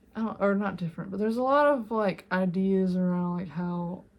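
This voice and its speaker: Somewhat breathy woman's voice at a medium pitch, on a very clean recording with a silent background. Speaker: art and grief content creator. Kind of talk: casual tutorial monologue. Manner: halting, many fillers.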